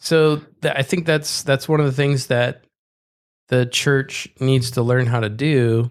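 An unremarkable speaking voice goes along at a moderate pace with fairly even intonation. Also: man. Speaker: podcast co-host. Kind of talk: casual chat.

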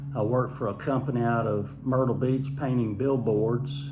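A man with a Southern US accent speaks at a medium pitch and moderate pace, with monotone, flat intonation. Noticeable background noise and audible room echo surround him. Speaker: homeowner recalling family vacations. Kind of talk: casual interview, storytelling.

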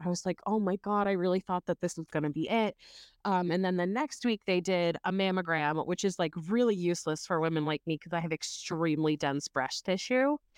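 A woman's plain, everyday voice, fairly low in pitch, fairly quick with hardly any pauses, ordinary pitch variation and very even loudness, dry and close with no echo against a quiet background. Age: 30s. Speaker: cancer patient and new mother. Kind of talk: casual interview.

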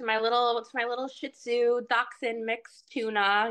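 A woman's normal speaking voice, fairly high in pitch and fairly slow, over a quiet background. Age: 20s. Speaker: hairstylist. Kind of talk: casual chat.

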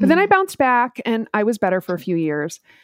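An American accent in a dry, close sound with no echo and a quiet background. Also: woman. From US Midwest, Minneapolis. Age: 40s. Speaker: entrepreneur with chronic illness. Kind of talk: personal testimony in interview.

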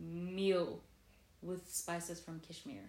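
Very slow, fairly low-pitched female speech in a room with audible echo, its pitch varying in an ordinary way. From South Africa. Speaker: podcast co-host. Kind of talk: casual chat.

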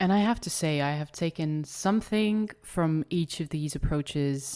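A woman with a slight Estonian accent is heard on a very clean recording with a silent background. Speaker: podcast host. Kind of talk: solo podcast monologue.

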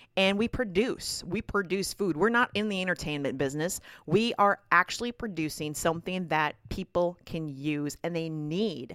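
With a Minnesotan accent, a woman talks at a moderate pace and a fairly low pitch, with ordinary pitch variation and hardly any pauses. The sound is dry and close with no echo, on a very clean recording with a silent background. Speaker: podcast host and farmer. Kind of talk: casual monologue. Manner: halting, repeats words.

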